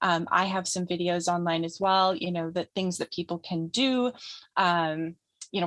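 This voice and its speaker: The intonation stays fairly even over a quiet background. The sound is dry and close, with no echo. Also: woman, fairly low pitch for a woman. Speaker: trauma healing educator. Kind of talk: summit presentation. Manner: fast.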